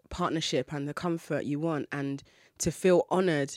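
Recorded very cleanly against a silent background, a woman speaks at a moderate pace in a dry, close sound with no echo. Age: 20s. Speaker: podcast host. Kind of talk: casual chat.

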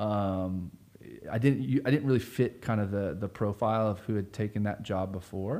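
On a very clean recording with a silent background, a man with an American accent speaks at a moderate pace in a fairly low pitch, with a dark, mellow tone and ordinary pitch variation. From Florida (Sanford, central Florida). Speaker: nonprofit community organizer. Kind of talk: casual interview conversation.

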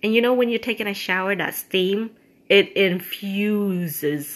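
Speaking at a very slow pace, a woman uses a medium pitch and ordinary pitch variation. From Cambodia. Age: 40s. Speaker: podcast host. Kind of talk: casual monologue. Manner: halting.

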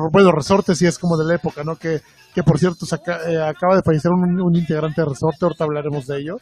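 Fairly high-pitched and very fast, a man speaks with fairly even intonation in a dry, close sound with no echo. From Veracruz, Mexico. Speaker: music podcast co-host. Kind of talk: casual album review chat.

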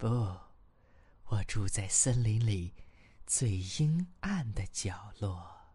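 In a put-on character voice, low-pitched and menacing in tone, the speaker hisses at a very slow pace with long, frequent pauses. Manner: hissing, menacing.

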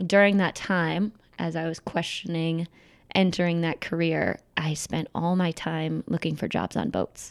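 An American accent at a fairly slow pace with fairly even intonation, in a dry, close sound with no echo on a very clean recording with a silent background. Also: woman. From Michigan, US. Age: 30s. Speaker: sailor and photographer. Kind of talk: interview conversation.

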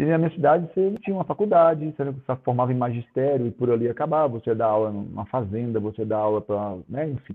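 Lively intonation colors a man's very fast speech. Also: medium pitch for a man. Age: 40s. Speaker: professional volleyball player. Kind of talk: casual interview chat.

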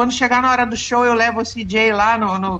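With noticeable background noise behind her, a woman talks at a moderate pace in a high pitch. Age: 50s. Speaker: former band interpreter. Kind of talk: casual interview.

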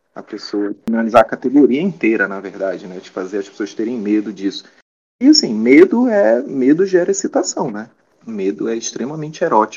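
Loudness swings widely as a man talks at a fairly quick speed. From Belém, Pará, Brazil. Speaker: psychology researcher. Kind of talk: interview.

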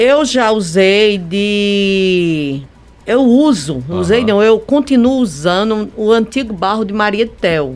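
A woman of medium pitch talks at a very slow pace with lively intonation. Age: old. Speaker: clay artisan. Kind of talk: radio interview.

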